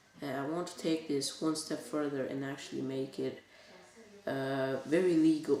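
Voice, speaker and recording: A woman talks at a moderate pace, her pitch varying in an ordinary way, while the room adds audible echo. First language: Bulgarian. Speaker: youtuber. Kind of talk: casual vlog talk. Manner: halting.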